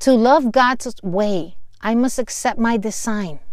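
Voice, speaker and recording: Lively intonation marks this woman's fairly high voice, delivered in a Spanish accent. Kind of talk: devotional teaching.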